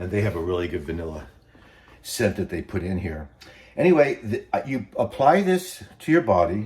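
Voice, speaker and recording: A man speaks at a fairly low pitch, his voice moving through very wide pitch swings. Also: moderate pace. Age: 60s. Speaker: vlogger. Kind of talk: casual tutorial vlog. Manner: casual, halting with fillers.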